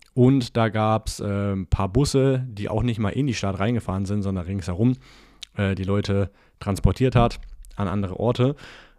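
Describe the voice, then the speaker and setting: On a very clean recording with a silent background, a man with a fairly low pitch and a dark, mellow tone speaks with ordinary pitch variation. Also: moderate pace. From Franconia, Nuremberg. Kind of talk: solo podcast monologue with coaching advice. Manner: casual, with frequent filler sounds.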